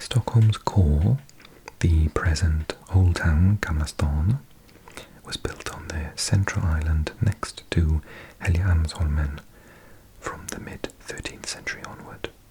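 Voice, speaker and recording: A soft-spoken man whispers at a very slow pace with long, frequent pauses. His loudness swings widely over noticeable background noise. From South Wales. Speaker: ASMR creator. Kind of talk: ASMR reading of encyclopedia article as sleep aid. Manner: soft-spoken or whispered, slow.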